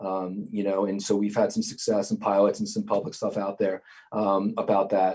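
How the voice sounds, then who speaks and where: In a New York accent, a man speaks with a dark, mellow tone, a fairly low pitch and ordinary pitch variation. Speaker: sports league IT director. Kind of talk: interview. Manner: many fillers and hesitations.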